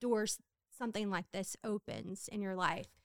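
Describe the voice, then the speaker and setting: In a Southern US accent, a woman talks with a fairly high pitch. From Louisiana, Hammond. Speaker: homemaker. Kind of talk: testimony.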